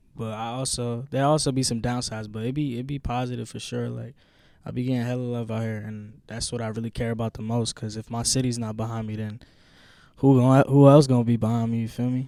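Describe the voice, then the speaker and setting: Soft-spoken and monotone, a man talks at a very fast pace with a medium pitch and a dark, mellow tone on a very clean recording with a silent background. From Rhode Island (Pawtucket). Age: young. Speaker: rapper. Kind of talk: radio interview.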